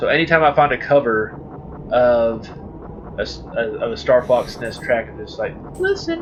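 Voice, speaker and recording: A man speaks at a moderate pace, leaving long, frequent pauses. His loudness swings widely against noticeable background noise. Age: adult. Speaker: let's play gamer. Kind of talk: gameplay commentary. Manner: animated.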